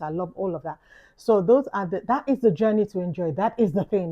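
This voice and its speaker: A woman with a London accent at a very fast pace, with ordinary pitch variation. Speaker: YouTuber vlogger. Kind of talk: reflective vlog talk. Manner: casual, conversational.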